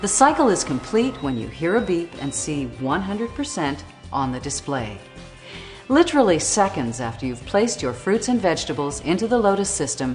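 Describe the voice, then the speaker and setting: Music plays in the background as a woman speaks at a moderate pace. Her fairly low voice moves in very wide pitch swings. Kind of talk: infomercial narration.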